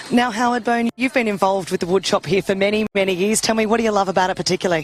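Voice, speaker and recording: In an Australian accent, a woman talks at a very fast pace with a medium pitch, ordinary pitch variation and very even loudness, in a dry, close sound with no echo and noticeable background noise. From New South Wales. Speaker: show TV presenter. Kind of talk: live interview.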